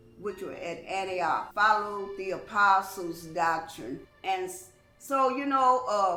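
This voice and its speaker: With music in the background and audible room echo, the speech moves at a fairly slow pace with lively intonation. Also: woman. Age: 60s. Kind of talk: testimony. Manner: halting.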